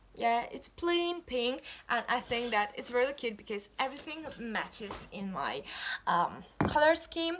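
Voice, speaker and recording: A woman's high-pitched voice with lively intonation, at a fairly slow pace, over noticeable background noise. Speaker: YouTuber, college student. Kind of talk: haul video. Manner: halting, self-correcting.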